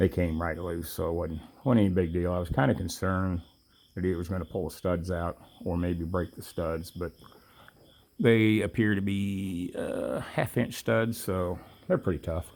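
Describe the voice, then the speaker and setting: The speech moves at a moderate pace in a relaxed tone with ordinary pitch variation. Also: man, very deep, low pitch for a man. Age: 60s. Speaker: mechanic doing a tractor repair vlog. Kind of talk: tutorial. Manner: casual, relaxed.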